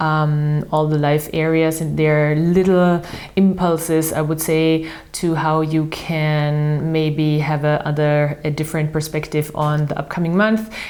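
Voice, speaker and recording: A woman with an Austrian accent speaks fairly slowly in a very deep, low voice with monotone, flat intonation. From Austria, Vienna. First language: German. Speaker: tarot reader. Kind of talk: tarot and astrology reading monologue. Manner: halting, with many fillers.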